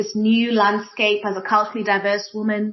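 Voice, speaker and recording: Speaking at a fairly quick pace, a woman talks in an East African accent. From Kenya. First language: Swahili. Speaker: diversity and inclusion practitioner. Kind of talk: panel discussion.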